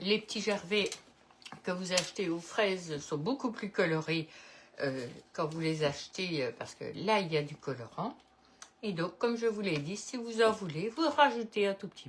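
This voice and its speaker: A woman with a Belgian accent, medium pitch, very wide pitch swings and big swings in loudness, at a fairly slow pace with long, frequent pauses, over noticeable background noise. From Belgium, Liège-Namur area. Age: 70s. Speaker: cooking video host. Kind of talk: casual chat; cooking tutorial. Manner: casual, hesitant with many euh.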